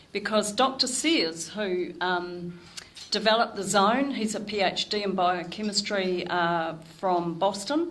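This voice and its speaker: A woman speaks at a fairly slow pace in a medium pitch. Her pitch varies in an ordinary way, and the room echo is audible. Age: 60s. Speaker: nutrition educator. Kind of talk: talk to a club audience.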